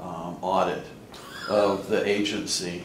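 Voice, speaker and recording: In a room with audible echo and light background noise, a man talks at a fairly low pitch with ordinary pitch variation. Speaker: election candidate. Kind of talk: interview. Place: office. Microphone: camera far.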